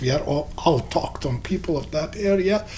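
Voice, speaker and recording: A man with an Albanian accent and lively intonation. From Kosovo. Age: 60s. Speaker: businessman and community figure. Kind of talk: interview. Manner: halting.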